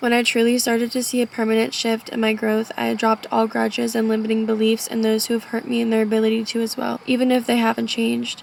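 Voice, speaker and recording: Over noticeable background noise, a woman rattles along at a very fast pace with hardly any pauses, her fairly high voice monotone and flat and her loudness very even. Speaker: vlogger. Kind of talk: casual monologue vlog. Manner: rambling, trails off.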